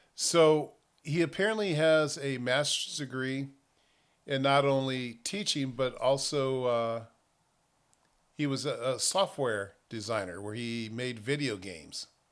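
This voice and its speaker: A medium-pitched man with an American accent and lively intonation on a very clean recording with a silent background. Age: 60s. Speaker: news commentator. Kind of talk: casual news commentary.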